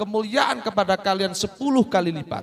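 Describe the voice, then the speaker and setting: This is a man's voice. He speaks at a high pitch. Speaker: Islamic religious teacher. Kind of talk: religious talk to children. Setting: Quran school gathering.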